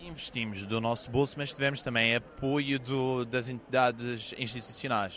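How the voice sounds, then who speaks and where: The speaker has a Madeiran accent. The pace is moderate. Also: man. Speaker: startup founder. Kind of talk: pitch interview.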